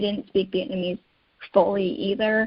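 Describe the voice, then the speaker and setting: An unremarkable speaking voice with an American accent moves at a fairly quick pace with ordinary pitch variation. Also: woman. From United States. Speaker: caregiving advocate. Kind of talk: interview.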